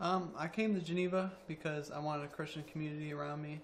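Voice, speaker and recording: A man with an American accent and a fairly high pitch speaks at a fairly quick pace. Audible room echo surrounds his voice. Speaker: college basketball player. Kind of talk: interview. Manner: hesitant.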